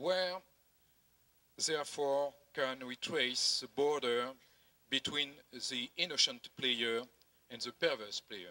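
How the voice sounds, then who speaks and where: With a French accent, a man speaks very slowly in a medium pitch with ordinary variation, his tone bright and sharp in a dry, close recording with no echo. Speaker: tax auditing director. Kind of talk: conference presentation read from prompter. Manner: halting, many hesitations.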